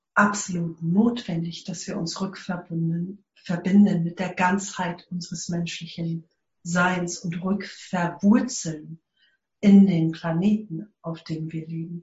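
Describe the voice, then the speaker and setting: A woman speaks at a very slow pace in a somewhat breathy voice. Her fairly low pitch stays monotone and flat. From South Africa. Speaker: eco-village network leader. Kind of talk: interview. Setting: remote connection.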